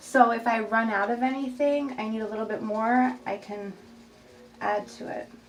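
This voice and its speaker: Her pitch fairly high and her intonation fairly even, a woman speaks at a fairly slow pace over noticeable background noise. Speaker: resin artist. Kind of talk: tutorial. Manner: slightly slurred speech from new braces.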